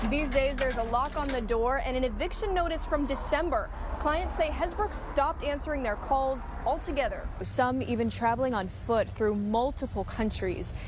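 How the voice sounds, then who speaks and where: A woman speaks at a moderate pace with a high pitch and lively intonation. Noticeable background noise runs behind her. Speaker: TV news reporter. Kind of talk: TV news report.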